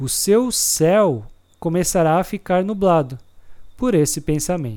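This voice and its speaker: On a very clean recording with a silent background, a man with a high pitch and a calm, gentle tone speaks at a fairly slow pace with lively intonation. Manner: calm, slow, gentle and reassuring, with an even, soothing instructional tone; clear, deliberate and measured, pausing between points as if guiding a listener.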